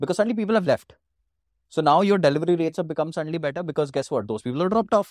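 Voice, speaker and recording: Speaking at a very fast pace, a man uses a high pitch and lively intonation. The sound is dry and close, with no echo. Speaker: marketing executive. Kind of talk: interview.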